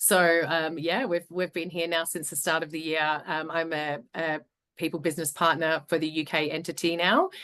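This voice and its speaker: The voice has an Australian accent and a bright, sharp tone. Its intonation is flat and monotone over a quiet background. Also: woman, fairly low pitch for a woman, moderate pace. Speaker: HR business partner. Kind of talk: webinar panel discussion.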